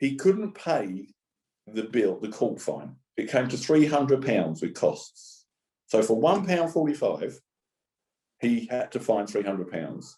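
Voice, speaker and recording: Leaving long, frequent pauses, a man with a Cockney accent speaks in a dark, mellow tone, his pitch swinging very widely. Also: medium pitch for a man. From East End of London. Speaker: charity speaker on homelessness and employment. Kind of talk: conference talk.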